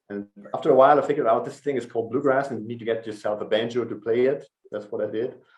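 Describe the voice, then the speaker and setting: Very fast and fairly even in intonation, a man with a German accent talks at a medium pitch. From northern Germany. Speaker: folk musician, banjo and guitar player. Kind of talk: casual interview chat. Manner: halting.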